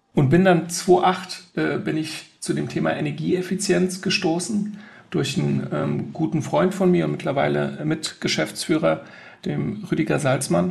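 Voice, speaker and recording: Noticeable background noise is present. A man talks at a fairly slow pace. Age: 40s. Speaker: sustainability consultant. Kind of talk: interview.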